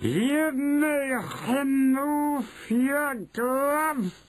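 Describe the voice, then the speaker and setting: A put-on, robotic character voice, shouting at a high pitch. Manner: shouting, commanding.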